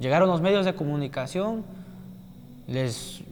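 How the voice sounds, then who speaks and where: Ordinary pitch variation from a man with a high pitch, at a moderate pace. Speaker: student at a rural teacher-training college, attack survivor. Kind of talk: interview testimony.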